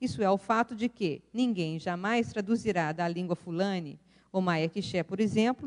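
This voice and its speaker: Here is a woman with an ordinary speaking voice and lively intonation. She talks at a moderate pace, and the sound is dry and close with no echo. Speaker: professor, keynote speaker. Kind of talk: academic lecture.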